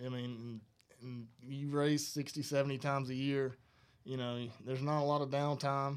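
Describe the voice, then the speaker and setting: A man speaks with a Southern US accent. His pace is fairly slow and his intonation fairly even. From northern Alabama. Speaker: racing crew chief. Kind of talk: casual interview. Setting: studio.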